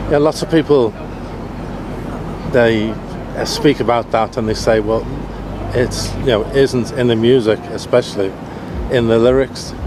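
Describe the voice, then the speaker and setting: A man keeps a moderate pace, broken by long and frequent pauses, while noticeable noise sits in the background. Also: medium pitch for a man, fairly even intonation. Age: 60s. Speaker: festival interviewer. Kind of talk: casual interview. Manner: halting, many fillers.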